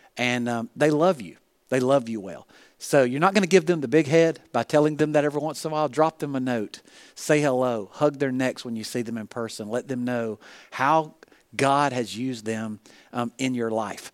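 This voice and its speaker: A man with a Southern US accent talks at a moderate pace, medium in pitch with ordinary pitch variation. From US South (Alabama). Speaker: pastor and leadership coach. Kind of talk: sermon.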